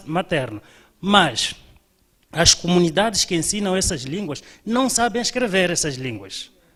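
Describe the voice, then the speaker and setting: With a Mozambican accent, a man speaks in a high pitch with lively intonation. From Mozambique, Zambezia (Chuabo-speaking). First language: Chuabo (speaking Portuguese). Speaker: doctoral student. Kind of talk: seminar discussion comment. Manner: halting.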